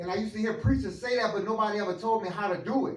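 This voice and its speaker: A man with an American accent at a fairly quick pace, ordinary pitch variation, audible room echo and noticeable background noise. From Louisiana, New Iberia. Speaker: motivational speaker. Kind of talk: testimony. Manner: unscripted, casual.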